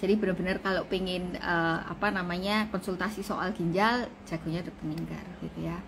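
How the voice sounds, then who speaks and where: Somewhat breathy and flat in intonation, a woman speaks at a fairly quick pace with hardly any pauses, her pitch medium. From Indonesia, Surabaya (East Java). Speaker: doctor. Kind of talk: live-stream health talk. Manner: casual, conversational.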